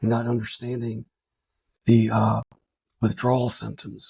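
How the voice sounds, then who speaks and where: A man talks at medium pitch, somewhat breathy. The sound is dry and close, with no echo. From Louisiana. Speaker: army veteran. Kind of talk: testimony.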